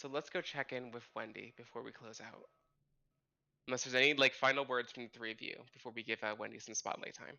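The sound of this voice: In a put-on character voice, a man sounds hoarse and strained, speaking very fast at a medium pitch with fairly even intonation and big swings in loudness.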